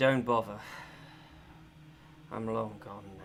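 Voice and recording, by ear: A man uses a hoarse, raspy, put-on character voice, fairly low in pitch and flat in intonation, with light background noise.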